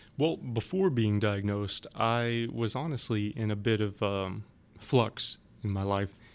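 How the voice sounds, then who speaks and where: In a plain, everyday voice, a man with a fairly low pitch speaks at a fairly slow pace with ordinary pitch variation. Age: 30s. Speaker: cancer survivor and advocacy manager. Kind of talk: interview testimony.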